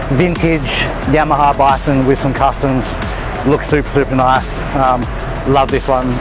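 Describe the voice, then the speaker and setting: Clear music in the background behind a man at a moderate pace, in a dry sound with no echo. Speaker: fitness vlogger. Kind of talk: casual vlog chat. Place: street.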